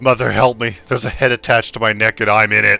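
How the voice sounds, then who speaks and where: A man puts on a gruff character voice at medium pitch, talking very fast in a flat monotone over faint background music. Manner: weary, groaning.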